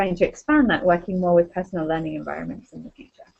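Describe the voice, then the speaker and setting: The speech comes at a very fast pace with ordinary pitch variation. It is delivered with a British accent. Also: woman. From UK. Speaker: university librarian. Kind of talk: self-introduction. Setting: video call.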